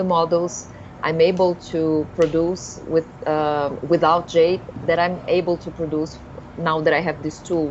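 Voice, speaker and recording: Noticeable background noise sits under speech that is monotone and flat in intonation. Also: woman. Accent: Brazilian. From Brazil. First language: Portuguese. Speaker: live stream co-host. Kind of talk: live stream introduction. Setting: live stream.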